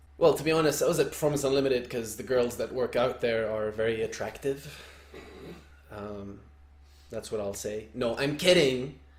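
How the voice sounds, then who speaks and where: At a moderate pace, someone speaks in a somewhat breathy voice with ordinary pitch variation. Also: man, medium pitch for a man. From Lebanon. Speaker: soccer coach, podcast co-host. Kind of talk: casual chat.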